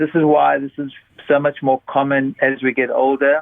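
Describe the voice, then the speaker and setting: A man talks at medium pitch in a flat, monotone way. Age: 60s. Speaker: doctor. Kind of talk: interview.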